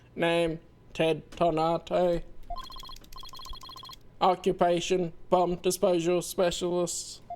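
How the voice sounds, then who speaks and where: In a put-on, robotic character voice at a middle pitch, the speaker goes at a very slow pace with monotone, flat intonation and long, frequent pauses. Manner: flat, mechanical.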